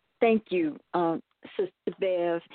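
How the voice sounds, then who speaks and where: Speaking at a fairly slow pace, a woman has an unremarkable speaking voice pitched fairly low. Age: 60s. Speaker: caller. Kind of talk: testimony.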